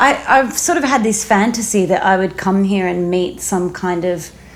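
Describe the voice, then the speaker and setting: Over noticeable background noise, a woman with an Australian accent speaks at a medium pitch. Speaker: singer-songwriter and former newsreader. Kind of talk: casual interview chat.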